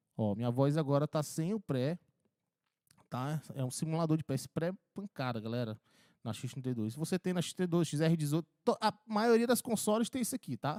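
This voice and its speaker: A man with a fairly high pitch and a dark, mellow tone talks at a fairly quick pace with very wide pitch swings. The sound is dry and close with no echo, on a very clean recording with a silent background. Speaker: audio engineering tutor. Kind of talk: tutorial. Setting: mixing console demo. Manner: casual.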